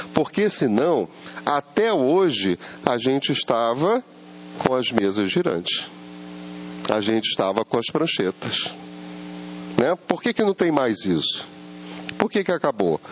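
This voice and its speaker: A medium-pitched man's voice with very wide pitch swings, very even loudness, long, frequent pauses and noticeable background noise. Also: fairly slow pace. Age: 70s. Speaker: spiritist lecturer. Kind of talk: lecture. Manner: conversational, asks audience rhetorical questions.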